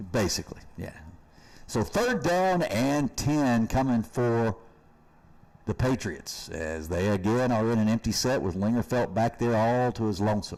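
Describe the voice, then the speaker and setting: In a Kentucky accent, a man speaks fairly slowly at a medium pitch with lively intonation. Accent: Kentucky Southern US. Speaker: high school football commentator. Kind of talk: live commentary.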